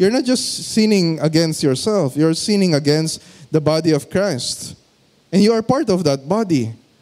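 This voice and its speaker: A man's high-pitched voice with lively intonation and very even loudness. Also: moderate pace. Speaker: pastor, guest preacher. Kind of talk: sermon preaching to a congregation.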